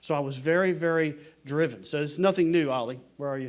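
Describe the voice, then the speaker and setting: Talking at a fairly quick pace, a man with an American accent and a fairly high pitch keeps his intonation fairly even in an unremarkable speaking voice. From Virginia, US South. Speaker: Air Force veteran and ministry leader. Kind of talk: testimony. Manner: conversational, with false starts.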